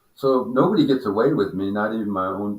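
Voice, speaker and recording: A man speaks loudly with an American accent. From Pacific Northwest US, Washington coast. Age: 70s. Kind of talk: casual chat.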